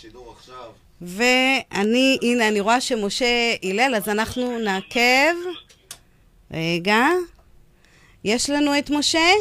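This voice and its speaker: A woman's high-pitched voice with a bright, sharp tone and lively intonation, at a very slow pace with long, frequent pauses. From Israel, Yemenite family. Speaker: radio host. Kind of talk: radio show with phone interview. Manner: hesitant, many fillers.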